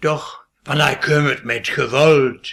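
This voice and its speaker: At a very slow pace, a man speaks in a raised, projected voice. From Westphalia, Möhnesee area. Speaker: dialect poet. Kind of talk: poetry reading.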